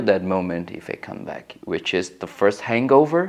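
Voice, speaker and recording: In a Portuguese accent, a man speaks with lively intonation. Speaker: interviewee. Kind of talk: interview. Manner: halting.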